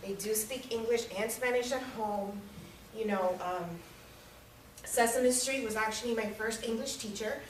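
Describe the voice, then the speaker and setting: With a slight Miami accent, a woman speaks at a moderate pace in a fairly high voice with fairly even intonation and long, frequent pauses. Audible room echo and noticeable background noise come through. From US South, Miami, Florida (Hialeah). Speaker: public speaking club member. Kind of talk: prepared speech. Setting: room with audience. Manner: casual.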